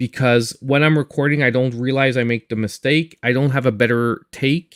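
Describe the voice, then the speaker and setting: With a Quebec accent, a man talks at a moderate pace and medium pitch, the sound dry and close with no echo. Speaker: gaming YouTuber and streamer. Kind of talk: live stream chat. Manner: halting, repeats words.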